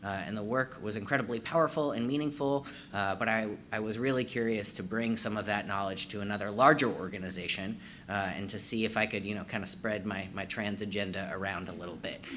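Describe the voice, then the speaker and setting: A man speaks very fast in a fairly low pitch with ordinary pitch variation and a bright, sharp tone. Audible room echo surrounds his voice. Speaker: trainer and former therapist. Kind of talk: conference training presentation. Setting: in-person conference room with audience.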